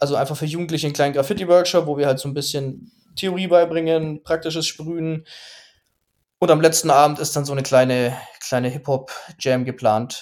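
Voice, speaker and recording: With an unremarkable speaking voice, a man talks at a fairly quick pace in a fairly high pitch with fairly even intonation. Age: 30s. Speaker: graffiti artist and design student. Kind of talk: interview.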